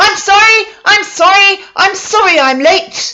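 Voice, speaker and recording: A squeaky, loud put-on character voice at an extremely high pitch. It moves along at a fairly slow pace. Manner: apologetic.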